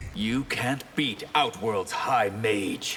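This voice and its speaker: This put-on character voice growls over clear background noise. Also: man, medium pitch for a man. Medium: short film. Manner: haughty, measured.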